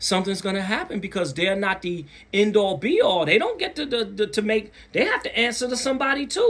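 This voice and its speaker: An animated man at a fairly quick pace against noticeable background noise. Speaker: content creator. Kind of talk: casual monologue. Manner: projecting voice, louder than usual; animated, emphatic.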